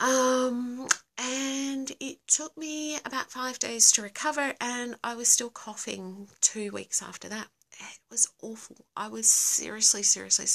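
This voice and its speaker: A woman speaks with an Australian accent at a fairly slow pace, with ordinary pitch variation. Her loudness swings widely against a quiet background. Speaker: livestream host; live streamer. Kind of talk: casual live Q&A. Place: home room. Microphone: phone near.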